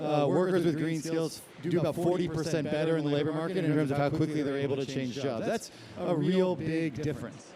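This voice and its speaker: A man's fairly high, fairly even voice at a fairly quick pace with hardly any pauses, plus audible room echo and noticeable background noise. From Scotland. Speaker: panelist from a professional networking company. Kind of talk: panel discussion.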